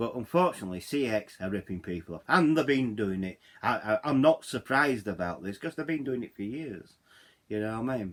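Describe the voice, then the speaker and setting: A man of medium pitch with a Yorkshire accent and lively intonation, in a very clean recording with a silent background. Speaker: YouTuber. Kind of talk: vlog rant. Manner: halting, repeats words; animated.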